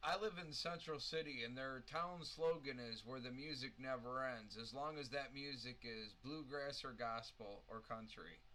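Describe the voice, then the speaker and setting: A man's bright, sharp, medium-pitched voice at a moderate pace with hardly any pauses and audible room echo. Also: ordinary pitch variation. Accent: American. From US Midwest, Dubuque, Iowa. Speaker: podcast host. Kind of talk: casual chat.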